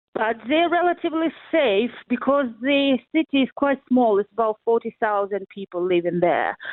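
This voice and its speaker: A woman with a Ukrainian accent, high-pitched and lively in intonation, at a fairly slow pace. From Ukraine, central (Poltava region). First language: Ukrainian or Russian. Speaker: interviewee, family in war zone. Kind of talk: radio interview. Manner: halting, many hesitations.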